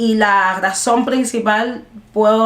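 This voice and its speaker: Her intonation is fairly even. The woman talks very slowly. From Cuba. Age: 20s. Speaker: jazz singer-songwriter. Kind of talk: interview answer. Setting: video call.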